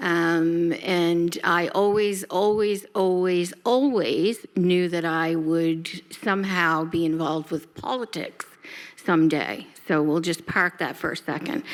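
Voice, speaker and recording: Speaking at a very slow pace, this woman has a fairly low pitch. Her pitch variation is ordinary. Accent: Nova Scotian. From Halifax, Nova Scotia, Canada. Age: 60s. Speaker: nonprofit CEO. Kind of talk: panel introduction.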